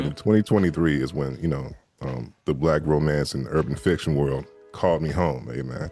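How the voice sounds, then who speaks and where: In an American accent, a man with a very deep, low voice speaks at a moderate pace in a relaxed tone, with ordinary pitch variation and music in the background. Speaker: audiobook narrator and voice actor. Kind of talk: interview answer on a podcast. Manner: relaxed, conversational, chatty.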